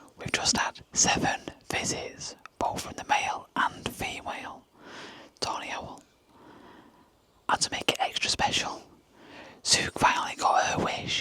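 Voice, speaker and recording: A woman whispers at a fairly slow pace with long, frequent pauses and big swings in loudness. Background noise is noticeable. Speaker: wildlife photographer and video maker. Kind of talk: vlog narration. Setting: outdoor photography hide at night. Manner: hushed, quiet.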